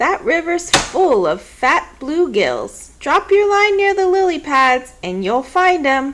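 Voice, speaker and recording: Put-on character voice from a woman, extremely high-pitched, raised and projected, at a fairly slow pace with hardly any pauses. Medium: read story. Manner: brisk, no-nonsense.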